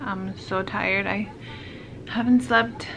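A woman with ordinary pitch variation is heard against noticeable background noise. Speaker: new mother vlogger. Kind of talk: casual vlog chat. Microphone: phone near.

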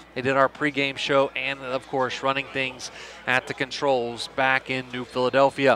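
A man speaks over faint background music, the sound dry with no echo. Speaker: play-by-play announcer. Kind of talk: sports commentary. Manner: fast, fluent, steady play-by-play calling. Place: booth.

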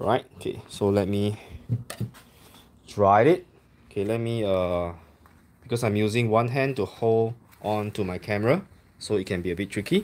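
A man speaks in a plain, everyday voice at a fairly low pitch. His pace is moderate and his pitch variation ordinary. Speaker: coffee enthusiast reviewer. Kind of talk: casual tutorial commentary. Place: home room. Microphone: phone near.

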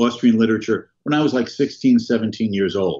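A man with a plain, everyday voice and ordinary pitch variation talks against a quiet background. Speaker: economist and professor; professor. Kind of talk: interview. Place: home room. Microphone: webcam.

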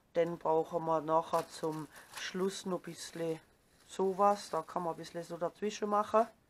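A woman's fairly low voice with a Baden accent and fairly even intonation. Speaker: crafter. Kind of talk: DIY craft tutorial. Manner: casual, chatty. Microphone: phone near.

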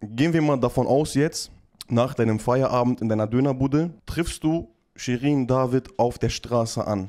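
In a dark, mellow tone, a man talks at a moderate pace with ordinary pitch variation and very even loudness over a quiet background. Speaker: streamer running prank calls. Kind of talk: casual chat on a live stream. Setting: live stream. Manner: animated, laughs often. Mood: joking, playful. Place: studio. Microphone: studio mic.

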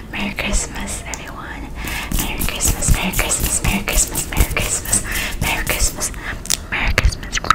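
A woman whispers at a moderate pace. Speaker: ASMR creator. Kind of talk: ASMR trigger video, casual talk to camera. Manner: soft, whispery, friendly. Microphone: studio mic.

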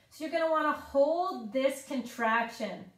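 Audible room echo surrounds a woman's high voice with ordinary pitch variation over a quiet background. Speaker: fitness instructor. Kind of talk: guided exercise tutorial. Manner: calm, even, instructional pacing with clear step-by-step cues; friendly and encouraging.

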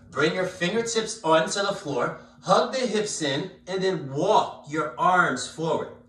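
With audible room echo around him, a man speaks fairly slowly at a high pitch with very wide pitch swings. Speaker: yoga instructor. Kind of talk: guided yoga class. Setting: live-streamed video class. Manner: calm, soothing, slow-paced cueing. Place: home room. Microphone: camera far.

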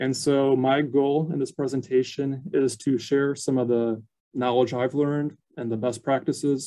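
Over a quiet background, a man with a dark, mellow tone talks in a medium pitch at a moderate pace. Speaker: archivist. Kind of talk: educational webinar presentation. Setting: video call. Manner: frequent filler words, somewhat halting. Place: office. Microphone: webcam.

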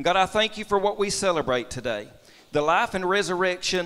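High pitch from a male speaker. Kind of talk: public prayer. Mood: reverent, earnest. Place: church.

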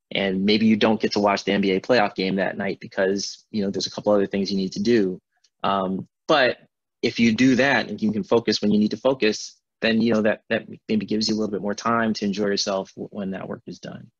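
Over a quiet background, a man talks at a fairly quick pace and fairly low pitch, his intonation fairly even and the sound dry with no echo. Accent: American. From Milwaukee, Wisconsin and Accra, Ghana. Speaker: neurosurgeon; speaker. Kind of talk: lecture. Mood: warm, reflective. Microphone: video call.

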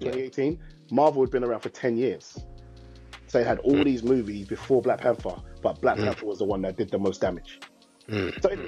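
A man talks at a fairly quick pace with faint music in the background. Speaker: podcast co-host. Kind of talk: casual commentary. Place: home room.

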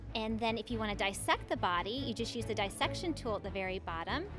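A woman speaks at a very fast pace. Clear music plays in the background. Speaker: app demonstrator. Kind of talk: tutorial. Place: hall. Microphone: handheld.

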